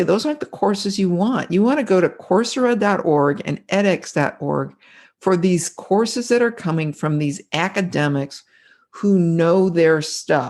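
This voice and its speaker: A medium-pitched woman at a fairly slow pace, animated in tone with lively intonation, over a quiet background. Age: 60s. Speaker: author and keynote speaker. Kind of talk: interview.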